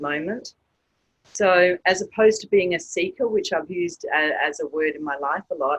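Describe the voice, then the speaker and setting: In an Australian accent, a woman speaks at a moderate pace with a dry, close sound with no echo. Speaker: author and women's group facilitator. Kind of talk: interview.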